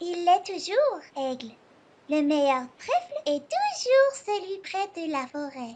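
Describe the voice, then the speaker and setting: A woman puts on a cartoonish character voice at an extremely high pitch, speaking at a fairly slow pace. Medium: puppet show.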